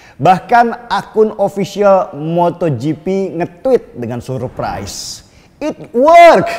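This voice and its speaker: A man's pitch swings very widely as he speaks at a very slow pace. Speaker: political commentator. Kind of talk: opinion monologue. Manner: casual.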